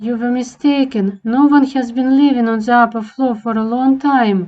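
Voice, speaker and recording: A woman performs a put-on character voice at a high pitch, with fairly even intonation and a moderate pace. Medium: machinima. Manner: polite, smooth, coaxing.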